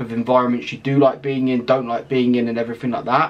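A man with an English accent talks at a very fast pace and a medium pitch. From England. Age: 20s. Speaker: YouTuber, psychology student. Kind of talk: casual vlog monologue. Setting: home video recording. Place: home room.

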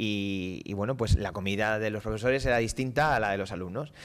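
A man speaking at a fairly quick pace. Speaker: mayor. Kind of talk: live radio interview answering students. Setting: council chamber, live broadcast. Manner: fast. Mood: relaxed, friendly, anecdotal. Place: hall. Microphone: podium.

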